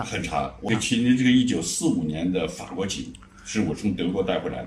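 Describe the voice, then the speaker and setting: Amid noticeable background noise, a man with a very deep, low pitch speaks at a moderate pace with lively intonation. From Shanxi, China. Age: 70s. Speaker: retiree. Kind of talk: interview answer.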